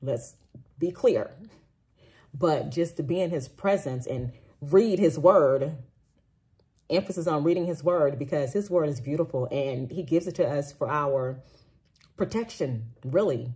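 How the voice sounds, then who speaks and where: A woman speaks fairly slowly with long, frequent pauses, her very deep, low voice somewhat breathy with a dark, mellow tone and ordinary pitch variation, over a quiet background. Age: 40s. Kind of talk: personal testimony monologue. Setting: recorded after a walk, solo video. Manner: casual, with frequent fillers and restarts. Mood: earnest, animated. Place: home room. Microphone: phone near.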